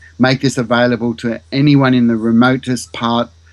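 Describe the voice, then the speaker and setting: This man has an unremarkable speaking voice at a medium pitch, moving at a moderate pace with fairly even intonation. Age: 50s. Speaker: mathematics teacher and researcher. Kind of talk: interview.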